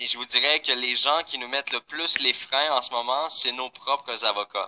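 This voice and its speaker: A man's bright, sharp tone at a fairly slow pace, with ordinary pitch variation and a dry, close sound free of echo. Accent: Quebec. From Quebec. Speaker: company founder presenting to members. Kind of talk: online presentation. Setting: live online call. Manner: hesitant, many fillers.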